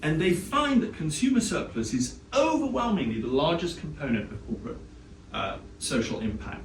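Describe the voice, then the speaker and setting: Over noticeable background noise and audible room echo, a man speaks with a British accent. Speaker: economics professor. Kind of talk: lecture. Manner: fast.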